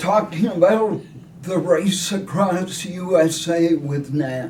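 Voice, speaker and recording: Over noticeable background noise, a man speaks at a very slow pace. His pitch is high, with ordinary variation. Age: 70s. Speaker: retired teacher and ultrarunner. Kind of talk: interview answer.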